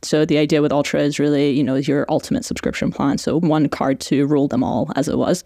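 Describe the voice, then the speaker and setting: With a Canadian accent, a woman speaks at a very deep, low pitch, very fast and with hardly any pauses. Her loudness stays very even, and her pitch variation is ordinary. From Iran and Canada. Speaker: fintech product executive. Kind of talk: casual interview. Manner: frequent laughter.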